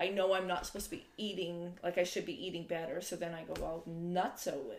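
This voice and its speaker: With a normal speaking voice, a woman with a fairly low pitch talks at a fairly quick pace with hardly any pauses, fairly even intonation and big swings in loudness. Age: 40s. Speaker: podcast host's mother. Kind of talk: casual chat.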